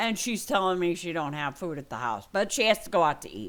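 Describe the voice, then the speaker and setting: A woman with a medium pitch and vocal fry swings her pitch very widely in a very clean recording with a silent background. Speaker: gaming vlogger. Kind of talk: personal vlog update. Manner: halting.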